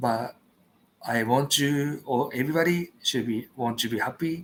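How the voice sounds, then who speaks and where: This man speaks with a Japanese accent. His pitch is medium and his pace moderate. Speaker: vlogger. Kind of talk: solo livestream chat. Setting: late-night livestream at home. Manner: halting.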